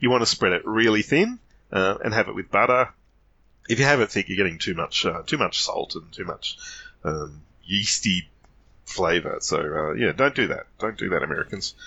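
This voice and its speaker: A man is speaking with an Australian accent. His pace is moderate. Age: 50s. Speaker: podcast guest. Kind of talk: casual chat.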